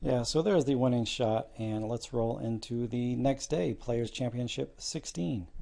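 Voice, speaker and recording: A man speaks quietly at a medium pitch, his tone dark and mellow, with hardly any pauses. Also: ordinary pitch variation, fairly slow pace. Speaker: darts news youtuber. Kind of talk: casual vlog commentary. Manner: subdued, kept quiet.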